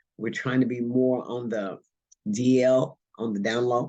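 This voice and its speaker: This voice belongs to a man. It rests at a medium pitch. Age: 60s. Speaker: union organizer, warehouse worker. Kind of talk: panel discussion. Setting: virtual conference.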